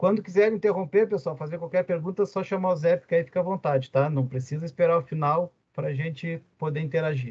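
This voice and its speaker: With a Rio Grande do Sul accent, a high-pitched man talks at a fairly quick pace with ordinary pitch variation and hardly any pauses. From southern Brazil, Rio Grande (RS). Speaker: university lecturer and business administrator. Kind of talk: lecture. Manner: casual, with many fillers.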